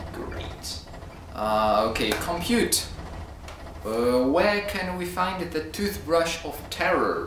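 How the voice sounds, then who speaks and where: A man speaks at a very slow pace, with light background noise and audible echo in the room. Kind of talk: comedy sketch dialogue. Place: home room.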